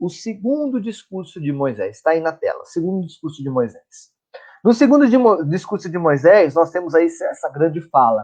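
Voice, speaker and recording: A man speaks at a moderate pace, his high pitch moving in very wide swings. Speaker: catechist. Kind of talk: online Bible lecture. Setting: live stream. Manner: conversational.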